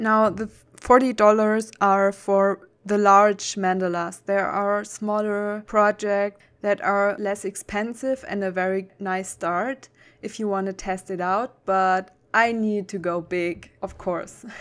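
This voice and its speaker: Speaking very slowly with hardly any pauses, a woman with a German accent keeps a monotone, flat intonation. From Germany. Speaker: cross-stitch vlogger. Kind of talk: tutorial; casual vlog chat.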